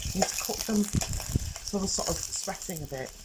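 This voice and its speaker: A woman's quiet whispering amid noticeable background noise. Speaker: cooking presenter. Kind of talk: cooking tutorial. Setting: outdoors in garden. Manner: whispering, quiet.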